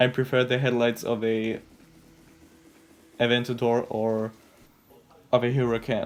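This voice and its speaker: This speaker talks at a moderate pace with a non-native accent. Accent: non-native English, noticeable mistakes. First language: not English. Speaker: car design YouTuber. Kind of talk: video commentary analysis. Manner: casual, hesitant.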